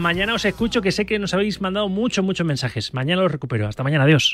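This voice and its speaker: A man at a very fast pace with lively intonation, music in the background. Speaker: sports radio host. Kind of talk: radio sports talk show.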